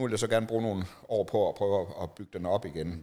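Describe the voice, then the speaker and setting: In a very clean recording with a silent background, a man talks at a fairly quick pace with ordinary pitch variation and a normal speaking voice. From Denmark, Jutland (Horsens). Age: 40s. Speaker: documentary photographer. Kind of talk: casual interview.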